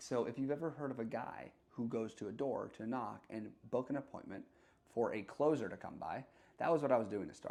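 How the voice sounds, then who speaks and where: A man's dark, mellow tone moves along at a fairly quick pace. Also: medium pitch for a man, ordinary pitch variation. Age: 20s. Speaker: salesman. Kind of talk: casual talk to camera. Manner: unscripted, unedited.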